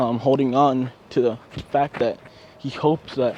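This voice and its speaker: Noticeable background noise accompanies a man who speaks at a very slow pace with a fairly high pitch. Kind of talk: casual fan-fiction storytelling to camera. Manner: halting, stuttering, rambling.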